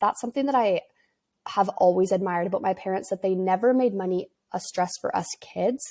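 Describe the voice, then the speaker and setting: A woman with a western Canadian accent, medium pitch, dark, mellow tone and ordinary pitch variation. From western Canada, near Vancouver. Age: 20s. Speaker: podcast host, entrepreneur. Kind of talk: casual solo podcast storytelling.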